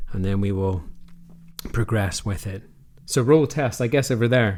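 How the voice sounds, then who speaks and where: A man at a medium pitch and moderate pace with ordinary pitch variation, on a very clean recording with a silent background. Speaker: tech YouTuber. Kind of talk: casual talk to camera. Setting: home office.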